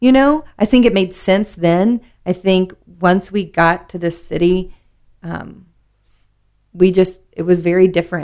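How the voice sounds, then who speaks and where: With a Southern US accent, a woman talks at a fairly slow pace and medium pitch, using ordinary pitch variation and long, frequent pauses. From US South, Memphis, Tennessee. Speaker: liquor distributor craft specialist, former bartender. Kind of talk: casual chat.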